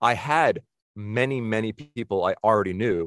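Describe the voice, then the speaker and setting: With an American accent, a man speaks in an ordinary speaking voice of fairly low pitch and ordinary pitch variation, the sound dry and close with no echo. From Boston area, US. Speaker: film and TV composer. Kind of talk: casual interview chat.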